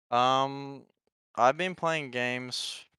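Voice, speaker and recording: A man speaks with an Australian accent and a bright, sharp tone. The sound is dry and close, with no echo. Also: very clean recording, silent background. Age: 20s. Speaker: esports pro player. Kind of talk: podcast interview.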